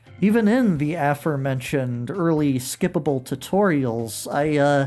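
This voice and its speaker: A man talks while noticeable background noise runs throughout. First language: not Japanese. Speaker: retro video game reviewer. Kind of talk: video essay narration. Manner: casual, with fillers.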